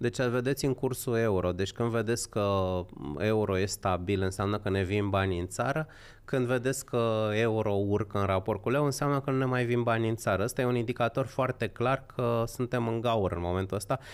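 Speaking at a moderate pace with very even loudness, a man with a normal speaking voice keeps a medium pitch and ordinary pitch variation. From Romania, Horezu (Vâlcea); Romania. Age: 50s. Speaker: political commentator. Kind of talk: casual chat. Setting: livestream. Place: studio. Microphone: studio mic.

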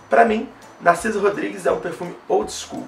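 Fairly quick speech with light background noise and audible room echo. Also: man. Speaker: perfume reviewer YouTuber; fragrance reviewer. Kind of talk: product review. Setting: home video recording, night, artificial light. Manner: stammering, repeats words. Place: home room.

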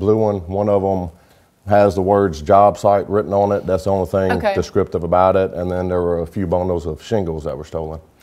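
A man with a very deep, low pitch speaks in a monotone, flat intonation against a quiet background. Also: fairly quick pace. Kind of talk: interview answer. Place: studio.

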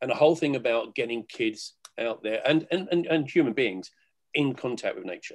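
A man talks at a fairly quick pace. His pitch sits at a medium level with ordinary variation.

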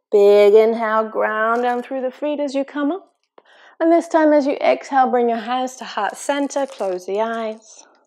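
This woman has a high-pitched voice. She speaks at a moderate pace. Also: ordinary pitch variation. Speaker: yoga fitness instructor. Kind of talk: guided yoga class instruction. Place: gym.

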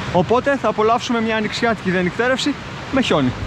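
Over noticeable background noise, a man speaks at a fairly quick pace in a high pitch with ordinary pitch variation and a dry sound with no echo. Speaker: outdoor vlogger. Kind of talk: casual vlog chat. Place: forest. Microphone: phone near.

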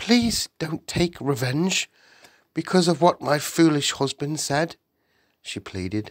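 Very slowly and in a gentle, soothing tone, a man speaks in a very clean recording with a silent background and a dry, close sound with no echo. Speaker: audiobook narrator. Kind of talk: bedtime story narration. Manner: slow, gentle, soothing.

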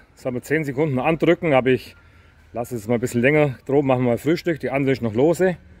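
Moving at a fast pace, a man talks at medium pitch with ordinary pitch variation.

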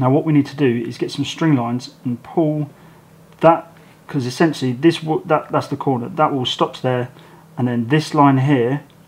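A man is talking at a moderate pace. His intonation stays fairly even. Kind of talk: tutorial. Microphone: phone near.

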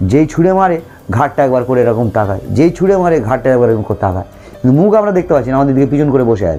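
A man talks at a medium pitch, his voice swinging very widely up and down. Music plays in the background. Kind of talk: telling a true ghost story as podcast interview guest. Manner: conversational, rambling, repetitive.

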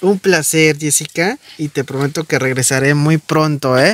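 A man speaks at a moderate pace in a dry recording with no echo. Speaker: visiting benefactor or host. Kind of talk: warm conversational talk to a child. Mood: warm, encouraging.

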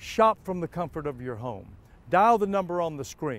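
With very wide pitch swings, a man speaks in a dry recording with no echo and light background noise. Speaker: TV show host. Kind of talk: promotional show host talk. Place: street. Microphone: lapel.

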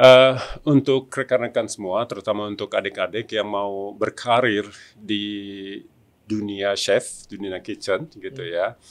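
Fairly slow delivery with fairly even intonation and big swings in loudness. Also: man, fairly low pitch for a man. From Indonesia, Tangerang (Banten); Banten, Indonesia. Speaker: executive chef; guest. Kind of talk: interview. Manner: halting, many fillers. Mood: warm, smiling. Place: studio. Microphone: studio mic.

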